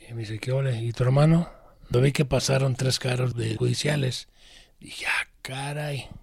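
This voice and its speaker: A somewhat breathy man's voice at medium pitch, moderate pace and fairly even intonation. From Guadalajara, Jalisco, Mexico. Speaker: former gang member and activist's brother. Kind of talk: interview testimony.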